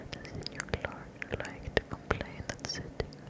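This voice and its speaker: A woman whispers at a fairly slow pace. Noticeable background noise can be heard. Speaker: ASMR creator. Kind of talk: ASMR whispered book reading. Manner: whispered, soft, slow.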